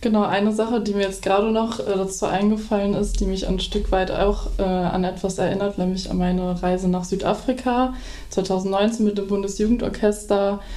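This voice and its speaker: A woman speaks at medium pitch and a moderate pace with monotone, flat intonation. The sound has audible room echo. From Dortmund, Ruhr area, Germany. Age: 20s. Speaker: violinist and music student. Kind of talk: interview.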